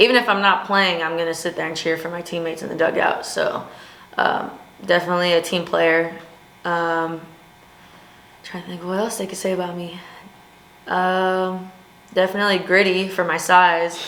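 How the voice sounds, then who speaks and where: A woman with a Southern Californian accent talks at a moderate pace in a fairly low pitch, leaving long, frequent pauses. Audible room echo surrounds her voice. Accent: Southern California American. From US West Coast, Long Beach, California. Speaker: college softball player. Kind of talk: casual interview. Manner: energetic, loud.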